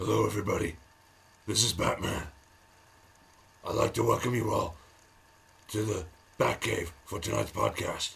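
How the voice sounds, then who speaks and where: Putting on a raspy character voice, a man speaks at a moderate pace with long, frequent pauses. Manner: gruff, dramatic.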